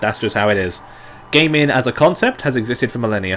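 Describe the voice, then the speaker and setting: Very fast pace with ordinary pitch variation, set against music in the background. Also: man. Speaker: game development streamer. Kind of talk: live stream Q&A. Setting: live stream. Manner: animated.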